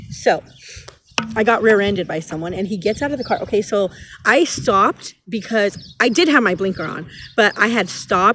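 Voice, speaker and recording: Against noticeable background noise, a woman speaks in an animated tone with lively intonation. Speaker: tarot reader. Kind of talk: casual tarot reading vlog. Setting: outdoors in a park. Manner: loud.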